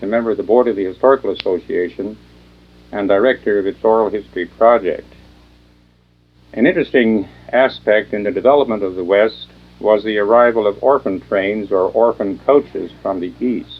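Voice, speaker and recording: In a normal speaking voice, a man with a fairly low pitch and ordinary pitch variation talks at a fairly quick pace. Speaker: college speech faculty and oral history director. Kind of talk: documentary introduction narration.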